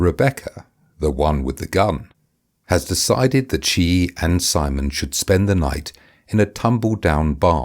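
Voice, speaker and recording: A man speaks at a fairly slow pace with a very deep, low pitch and vocal fry. His intonation is lively. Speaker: author and audiobook narrator. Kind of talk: audiobook reading of a dark comedy novel.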